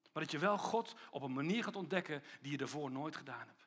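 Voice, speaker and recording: A man talks at a fairly quick pace in a bright, sharp, animated tone with lively intonation. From Papua New Guinea (missionary child), then Netherlands. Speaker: pastor. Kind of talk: sermon.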